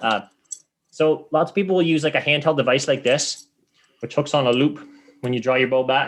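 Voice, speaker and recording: Pausing long and often, a man with a Canadian accent talks at a fairly quick pace and a fairly high pitch. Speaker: competitive archer. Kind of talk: explanatory interview chat. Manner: fast; animated.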